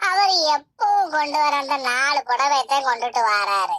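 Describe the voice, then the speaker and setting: A woman does a cartoonish character voice with lively intonation at a very slow pace. The recording is very clean, with a silent background. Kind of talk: rural Tamil comedy cartoon. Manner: grumbling, sarcastic.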